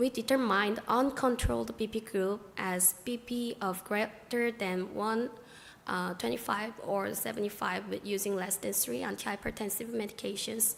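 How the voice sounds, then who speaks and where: Vocal fry in a woman's medium-pitched voice, moderately paced. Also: ordinary pitch variation. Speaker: doctor presenting research. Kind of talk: conference presentation.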